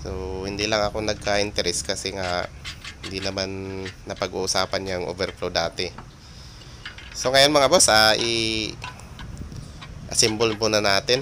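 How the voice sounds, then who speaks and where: A man at a fairly low pitch and moderate pace, with ordinary pitch variation, long, frequent pauses and music in the background. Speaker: DIY stove maker. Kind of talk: product demonstration tutorial. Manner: halting with many fillers; casual, friendly.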